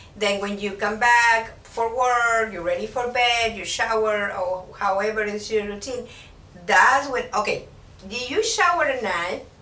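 A fairly high-pitched woman speaking at a fairly slow pace, with audible room echo and noticeable background noise. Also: ordinary pitch variation. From Mexico (Puebla). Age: 50s. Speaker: aesthetician. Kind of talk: interview. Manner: halting.

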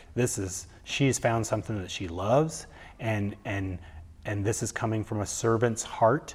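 A man speaks somewhat breathily at a fairly slow pace, his fairly low pitch showing ordinary variation. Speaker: former radio host turned photographer. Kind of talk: casual interview. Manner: halting, many fillers and repetitions.

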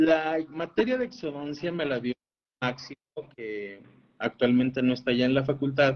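A man with a plain, everyday voice speaks at a moderate pace in a fairly high pitch with ordinary pitch variation. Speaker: oral and maxillofacial surgeon. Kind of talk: casual interview.

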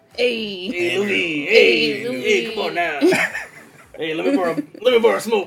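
A raspy put-on character voice at a middle pitch drags along at a very slow pace with long, frequent pauses. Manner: gruff, casual.

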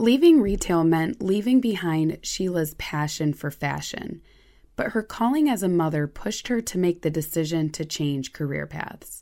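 In a very clean recording with a silent background, a woman with a plain, everyday voice talks at a moderate pace, her fairly low pitch carrying lively intonation. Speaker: podcast host narrator. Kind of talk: scripted narration.

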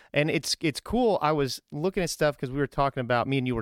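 With a plain, everyday voice, a man speaks at a fairly quick pace and medium pitch with ordinary pitch variation, in a very clean, dry, close recording with no echo and a silent background. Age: 30s. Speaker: Navy recruiter and podcast host. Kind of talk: casual interview. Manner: upbeat.

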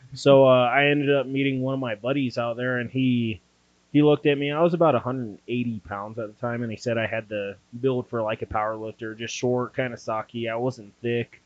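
With an American accent and an ordinary speaking voice, a man talks at a moderate pace and medium pitch, keeping his intonation fairly even. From Dayton, Ohio. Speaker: strongman competitor.

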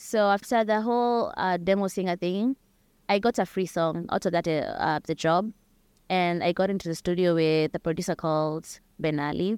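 A woman's medium-pitched voice in a Kenyan accent, at a moderate pace with ordinary pitch variation, with a dry, close sound with no echo on a very clean recording with a silent background. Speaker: singer-songwriter. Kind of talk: interview chat.

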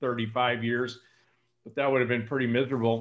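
Over a quiet background, a man with a West Coast US accent speaks at a medium pitch. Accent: General American (West Coast). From California, San Joaquin Valley. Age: 60s. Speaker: sales coach and speaker. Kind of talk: podcast interview.

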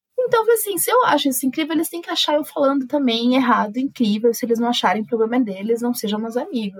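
Here is an ordinary speaking voice with ordinary pitch variation. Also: woman. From Brazil, São Paulo city. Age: 20s. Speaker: journalist. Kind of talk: casual interview conversation.

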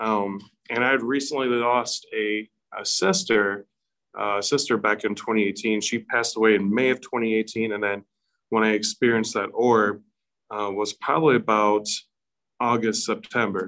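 This man has a normal speaking voice at a medium pitch. He talks at a moderate pace with fairly even intonation. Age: 30s. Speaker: paranormal investigator and haunted house actor. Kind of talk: casual interview.

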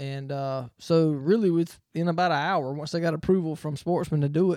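In a Southern US accent, a dark, mellow voice comes through on a very clean recording with a silent background. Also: man. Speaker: racing podcast co-host. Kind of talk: casual chat.

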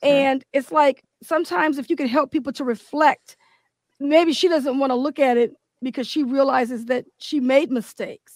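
A woman speaks in a high pitch with ordinary pitch variation. Her pace is moderate, and the sound is dry and close with no echo. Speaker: podcast co-host. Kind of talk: casual interview chat.

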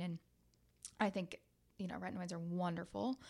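Very fast speech from a woman with a Midwestern American accent and fairly low pitch. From US Midwest (small town, southern Ohio). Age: 20s. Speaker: esthetician and business owner. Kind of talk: casual interview chat. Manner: animated.

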